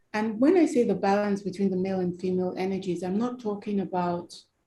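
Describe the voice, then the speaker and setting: A woman's voice, somewhat breathy, carries a dark, mellow tone. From Nigeria. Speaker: human rights campaigner. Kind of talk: interview.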